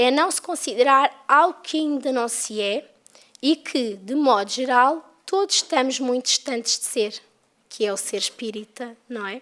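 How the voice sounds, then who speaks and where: A woman with a European Portuguese accent speaks at a fairly slow pace. Her high voice carries lively intonation. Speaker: spiritist lecturer. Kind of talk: lecture.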